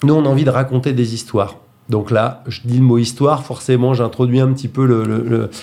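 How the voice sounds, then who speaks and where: At a fairly quick pace, a man with a medium pitch and a dark, mellow tone speaks in a flat monotone. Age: 40s. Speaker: actor and theatre director. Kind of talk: radio interview. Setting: radio studio. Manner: halting, many hesitations.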